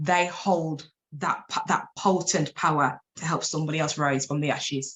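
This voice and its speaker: The delivery has an animated tone and moves at a moderate pace. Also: woman, very deep, low pitch for a woman. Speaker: life coach and abuse survivor speaker. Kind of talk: interview testimony.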